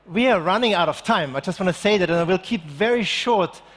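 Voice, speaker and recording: In an Austrian accent, a man talks at a very fast pace with ordinary pitch variation. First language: German. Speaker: circular economy expert, keynote speaker. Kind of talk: keynote talk. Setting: stage with live audience.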